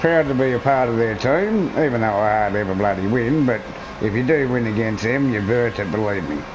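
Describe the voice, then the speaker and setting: A man with a strong Australian accent talks at a fairly quick pace and a medium pitch with ordinary pitch variation. Room echo is audible, and the background noise is noticeable. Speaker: gaming streamer. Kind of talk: casual live-stream commentary.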